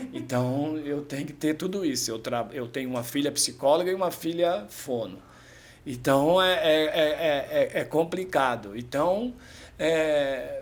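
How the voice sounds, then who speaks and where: Pitched fairly high, a man talks at a fairly slow pace with lively intonation. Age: 50s. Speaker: amateur triathlete and shop owner. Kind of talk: casual chat. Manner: halting.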